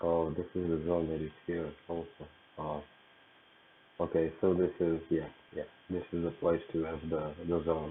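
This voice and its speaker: A soft-spoken man with a very deep, low pitch and monotone, flat intonation, at a moderate pace with long, frequent pauses. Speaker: trader. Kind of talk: tutorial. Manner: halting.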